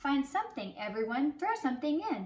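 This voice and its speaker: Putting on a character voice, a woman speaks at a fairly quick pace, her high pitch swinging very widely. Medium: read story.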